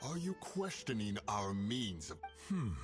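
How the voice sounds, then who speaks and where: Over clear background music, a man performs a put-on character voice at a fairly low pitch. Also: fairly slow pace. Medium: video game. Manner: solemn.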